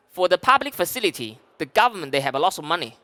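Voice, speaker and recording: Dry and close with no echo, a man's high voice carries a bright, sharp tone and very wide pitch swings. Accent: Chinese. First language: Chinese. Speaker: sales director. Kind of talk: conference talk. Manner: halting.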